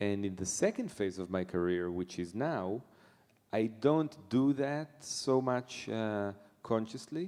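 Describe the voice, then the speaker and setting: Very slowly and at a medium pitch, a man with an Israeli accent speaks in a dark, mellow tone with lively intonation. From Israel, Netanya. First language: Hebrew. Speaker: jazz pianist. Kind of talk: interview. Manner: halting.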